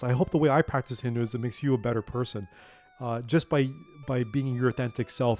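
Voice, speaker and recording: The speaker goes at a fairly quick pace with music in the background and a dry, close sound with no echo. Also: man. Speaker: gaming channel host. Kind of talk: book summary monologue with gameplay commentary. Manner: halting, with repetitions and fillers.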